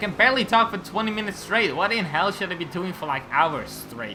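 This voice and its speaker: Male speech at a moderate pace over background music. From Belgium, Flemish part. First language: Dutch. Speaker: gaming YouTuber. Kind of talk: gameplay commentary. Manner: halting, stumbling over words.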